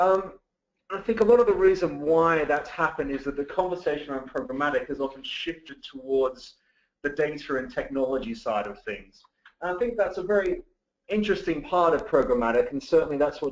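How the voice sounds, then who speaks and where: A man talks with lively intonation. He has a slight British accent. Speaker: digital marketing director. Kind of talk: webinar presentation. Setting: webinar call.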